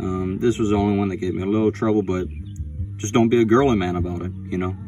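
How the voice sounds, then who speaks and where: A man speaks at a fairly quick pace with a very deep, low pitch and fairly even intonation, in a dry sound with no echo over clear music in the background. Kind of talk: tutorial. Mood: casual, joking, blunt. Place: garage. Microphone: phone near.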